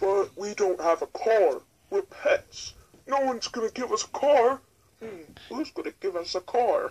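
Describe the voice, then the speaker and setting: A put-on character voice, fairly high-pitched, at a moderate pace. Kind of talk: toy story video narration. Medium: role play.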